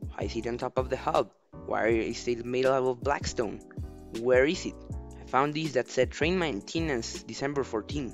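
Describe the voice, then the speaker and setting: With music in the background, a man at medium pitch speaks at a moderate pace with lively intonation. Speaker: gaming video creator. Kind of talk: video game commentary voiceover.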